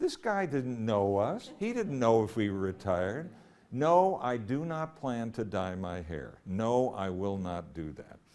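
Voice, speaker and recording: Speaking at a fairly slow pace, a man at medium pitch makes very wide pitch swings. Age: 80s+. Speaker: retired journalist and columnist. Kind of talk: talk to an audience. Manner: animated.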